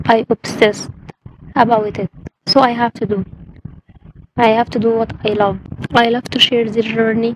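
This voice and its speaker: A woman speaks at a moderate pace with long, frequent pauses and a fairly high, monotone, flat delivery. The sound is dry and close with no echo. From Egypt. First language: Arabic. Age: 20s. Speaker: language learner vlogger. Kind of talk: personal vlog introduction. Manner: halting.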